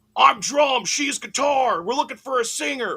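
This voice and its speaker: Using a put-on character voice, a man with a Philadelphia accent speaks at a moderate pace in an extremely high pitch. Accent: Philly. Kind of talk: casual.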